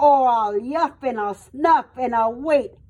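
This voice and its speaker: In a put-on character voice, a woman growls at a high pitch, speaking at a fairly slow pace. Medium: read story. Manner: growling.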